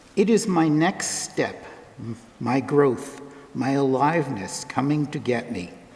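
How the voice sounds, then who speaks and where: Against noticeable background noise, a man with a fairly high pitch speaks at a fairly slow pace with lively intonation. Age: 70s. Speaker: lay reader at a church service. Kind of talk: reading aloud.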